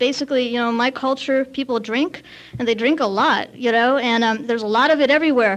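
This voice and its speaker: Very fast speech in a Californian accent with fairly even intonation. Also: woman, high pitch for a woman. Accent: Californian American. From US West Coast, Santa Monica, Lithuanian community. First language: Lithuanian. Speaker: AA speaker. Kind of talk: recovery talk at AA meeting. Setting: meeting with audience. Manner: casual, filler-heavy.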